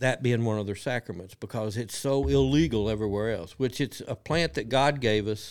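With a Kentucky accent and lively intonation, a man speaks on a very clean recording with a silent background. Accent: Kentucky Southern drawl. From rural Kentucky, Lee County. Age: 60s. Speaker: cannabis business owner, former bronco rider. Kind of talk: casual interview storytelling.

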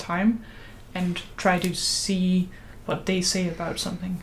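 With a Danish accent, a woman speaks at a medium pitch. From Denmark. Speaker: podcast host, religious studies student. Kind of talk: casual chat.

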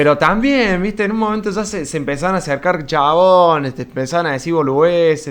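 A man speaks at a high pitch with lively intonation. His pace is very fast, with hardly any pauses. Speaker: podcast host. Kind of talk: casual chat.

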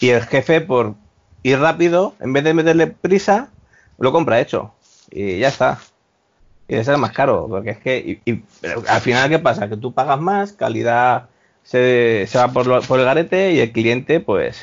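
A plain, everyday voice from a man of medium pitch, at a fairly slow pace with lively intonation. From Spain, Valencia. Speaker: former hospitality worker. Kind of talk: casual chat.

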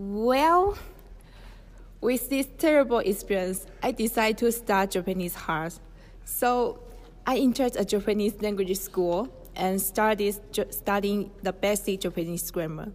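A woman talks at a fairly slow pace with a Chinese accent. Her pitch sits at a medium level. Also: ordinary pitch variation. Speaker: language student. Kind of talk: personal story presentation.

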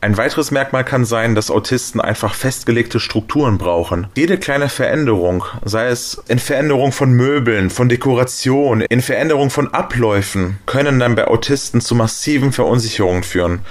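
A man's animated voice at a medium pitch, with very even loudness, hardly any pauses and noticeable background noise. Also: ordinary pitch variation, moderate pace. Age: 30s. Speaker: radio reporter. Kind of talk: interview. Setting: at the guest's home.

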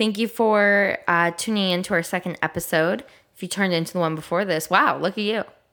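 A woman talks at a fairly quick pace in a nasal, fairly bright voice pitched fairly low, on a very clean recording with a silent background. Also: ordinary pitch variation.

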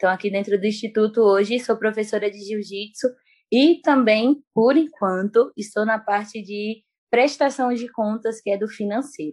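The woman's fairly high voice keeps a moderate pace and shows ordinary pitch variation. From Bahia, Brazil. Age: 20s. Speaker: missionary and jiu-jitsu teacher. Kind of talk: casual interview. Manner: calm.

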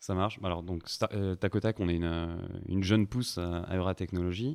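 With a very deep, low pitch and fairly even intonation, a man talks at a moderate pace. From southern France, Montpellier. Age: 20s. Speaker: startup founder. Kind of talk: interview.

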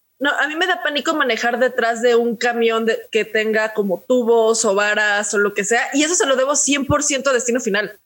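With ordinary pitch variation, a woman talks at a moderate pace in a high pitch. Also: hardly any pauses. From Mexico City. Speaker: podcast co-host. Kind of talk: casual chat.

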